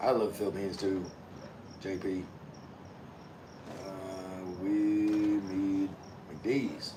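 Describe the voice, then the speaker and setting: A man with an American accent talks very slowly at a fairly low pitch in a monotone, flat delivery with long, frequent pauses, amid audible room echo and noticeable background noise. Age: 50s. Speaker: vlogger, navy veteran. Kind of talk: livestream chat reading comments. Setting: outdoors.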